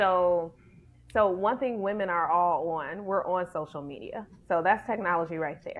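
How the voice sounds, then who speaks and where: A woman with an American accent, a normal speaking voice, medium pitch, ordinary pitch variation and a moderate pace. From Detroit, Michigan, US. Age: 40s. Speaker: ministry leader and speaker. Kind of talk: podcast interview.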